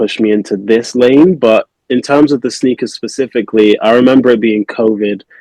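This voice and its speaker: Recorded dry and close with no echo, a man with a Manchester accent speaks at a medium pitch in a dark, mellow tone with fairly even intonation. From England, Manchester. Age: 20s. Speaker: custom sneaker artist. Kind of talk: podcast interview. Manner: hesitant, many fillers.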